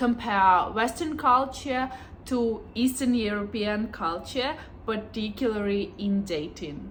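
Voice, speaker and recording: A woman's fairly high voice with a Ukrainian accent, ordinary pitch variation and a fairly slow pace over noticeable background noise. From Ukraine. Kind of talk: casual talk to camera.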